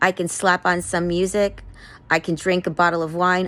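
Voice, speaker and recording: At a fairly quick pace, a woman with an American accent speaks in a fairly low pitch. She has an ordinary speaking voice. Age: 50s. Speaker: vlogger. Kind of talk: personal testimony monologue. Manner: earnest, pleading.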